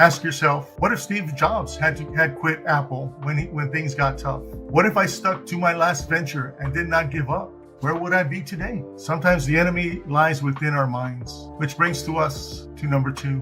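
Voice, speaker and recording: With music in the background, a man speaks at a moderate pace in a fairly high pitch, using ordinary pitch variation and hardly any pauses. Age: 40s. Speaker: beginner YouTuber. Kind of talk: motivational talk.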